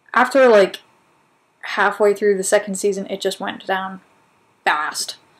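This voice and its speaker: Pausing long and often, a woman talks at a fairly slow pace with a medium pitch and fairly even intonation. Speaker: video blog host. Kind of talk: casual talk to camera.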